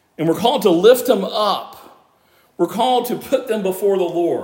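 Loud speech with lively intonation at a moderate pace. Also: man. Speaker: pastor. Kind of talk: sermon. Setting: church.

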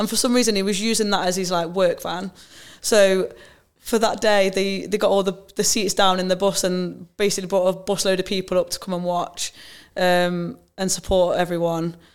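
In a very clean recording with a silent background, a woman with an East Midlands accent speaks at a moderate pace and medium pitch, her intonation monotone and flat. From England, Nottingham. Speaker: women's footballer, team captain. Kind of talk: casual interview chat.

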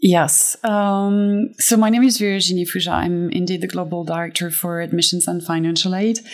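A woman speaks with hardly any pauses. Her pitch is fairly low. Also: ordinary pitch variation, moderate pace. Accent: French. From France (Fontainebleau). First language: French. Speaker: admissions director. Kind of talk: interview conversation.

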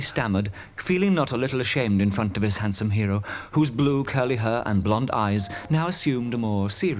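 What we hear is a voice reading naturally.

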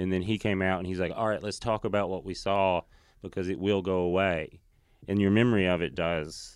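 With a Southern US accent, a man with a very deep, low pitch talks at a fairly quick pace and fairly even intonation against a quiet background. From Tennessee, US South. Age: 30s. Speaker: stand-up comedian. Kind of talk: casual chat.

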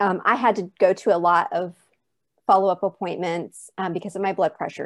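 At a fairly quick pace, a woman with medium pitch and an unremarkable speaking voice talks against a quiet background. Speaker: mother of a former NICU baby. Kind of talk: personal testimony interview.

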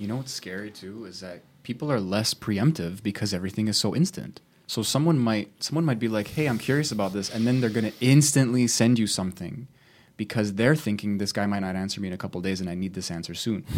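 This man's voice sits fairly low, and his words come out very fast. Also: ordinary pitch variation. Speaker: podcast co-host. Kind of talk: casual chat. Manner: fast talker.

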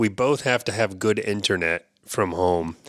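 The man has a normal speaking voice with a fairly low pitch. He talks at a fairly slow pace with ordinary pitch variation. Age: 50s. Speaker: podcast co-host. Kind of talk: casual chat.

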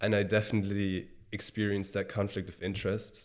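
A man with a Bavarian accent, fairly low in pitch, at a moderate pace, in a very clean recording with a silent background. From Germany, Bavaria (small village near Munich). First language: German. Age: 20s. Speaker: sneaker reseller and entrepreneur. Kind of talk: interview conversation. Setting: in-person recording.

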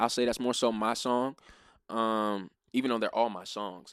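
An American-accented man with an unremarkable speaking voice talks at a moderate pace in a medium pitch with ordinary pitch variation, on a very clean recording with a silent background. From Maryland, US. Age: 20s. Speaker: music artist. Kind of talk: casual interview.

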